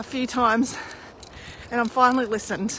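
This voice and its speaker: A woman with an Australian accent speaks loudly and at a fairly quick pace. Her pitch is high, and there is noticeable background noise. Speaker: spiritual healer. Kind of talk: casual live stream chat. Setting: live video stream. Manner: animated.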